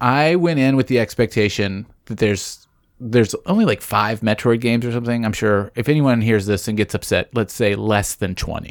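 Recorded very cleanly against a silent background, a man with an unremarkable speaking voice talks at a fairly quick pace, with medium pitch and ordinary pitch variation. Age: 30s. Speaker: podcast producer. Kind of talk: casual chat. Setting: small room with air vent covered.

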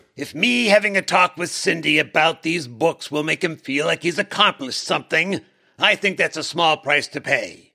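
A man puts on a character voice at a fairly high pitch. The recording is very clean, with a silent background. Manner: relaxed, breezy, wry.

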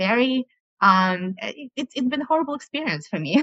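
A woman at a fairly slow pace. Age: 40s. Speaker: coaching client. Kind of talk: coaching call. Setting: video call. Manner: halting, many fillers.

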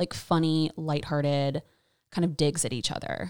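A normal speaking voice: a woman with an American accent and a fairly low pitch talks at a moderate pace, the sound dry and close with no echo on a very clean recording with a silent background. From US South, North Carolina (Raleigh). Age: 30s. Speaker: podcast guest, host's best friend. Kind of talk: casual chat.

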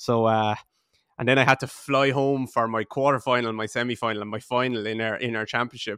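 A man speaks very fast in an Irish accent, with a medium pitch and a bright, sharp tone. His intonation is monotone and flat, and the sound is dry and close with no echo. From Ireland, Waterford. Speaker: podcast host. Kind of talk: interview conversation.

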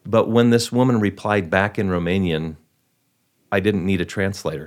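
At a moderate pace, a man speaks at a fairly low pitch with ordinary pitch variation, on a very clean recording with a silent background. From Wisconsin, Milwaukee area. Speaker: actor. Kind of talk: interview.

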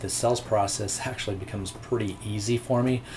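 There is noticeable background noise. A man speaks at a fairly low pitch. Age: 40s. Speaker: real estate agent. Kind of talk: interview.

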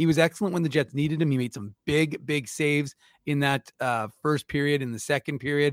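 A man with a plain, everyday voice talks at a fairly quick pace, his pitch fairly high and his intonation fairly even, in a dry, close sound with no echo. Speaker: hockey pundit. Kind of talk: casual chat. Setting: video call.

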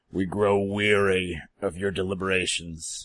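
Growling comes through in a put-on character voice. The pace is moderate. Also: man, very deep, low pitch for a man. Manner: menacing, impatient.

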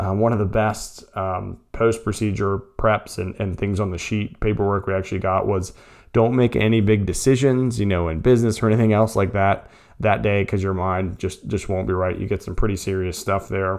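An unremarkable speaking voice moves along at a moderate pace. The intonation stays fairly even. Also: man, fairly low pitch for a man, quiet background. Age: 40s. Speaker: podcast host. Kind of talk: solo podcast monologue. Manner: casual, frequent fillers.

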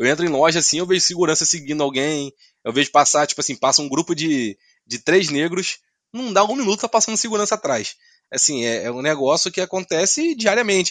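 Lively intonation and a fairly quick pace come through a dry, close sound with no echo and a quiet background. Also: man, high pitch for a man. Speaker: podcaster. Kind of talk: casual discussion.

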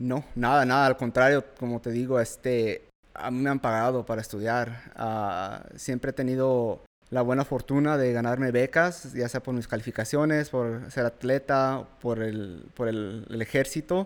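A man's medium-pitched voice, fairly slow, with fairly even intonation. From US, Mexican-American family in Washington. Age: 20s. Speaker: army veteran and freight broker. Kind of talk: podcast interview. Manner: halting, with fillers and repeats.

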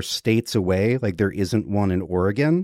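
A man with an American accent has an ordinary speaking voice with ordinary pitch variation. He speaks at a moderate pace in a very clean recording with a silent background. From US South, Georgia. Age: 30s. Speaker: astrologer. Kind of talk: casual chat.

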